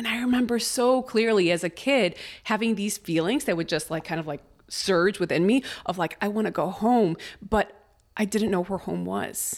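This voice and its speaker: A woman with a Spanish accent speaks at a moderate pace and medium pitch, with ordinary pitch variation. The recording is very clean, with a silent background. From Chicago, US Midwest (moved from Mexico City at five). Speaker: artist and life coach. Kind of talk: casual interview chat.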